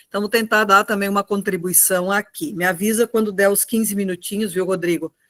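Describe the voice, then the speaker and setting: With an unremarkable speaking voice, a woman talks at a medium pitch and fairly even intonation, the sound dry and close with no echo. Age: 60s. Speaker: retired teacher and union activist. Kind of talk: online political talk.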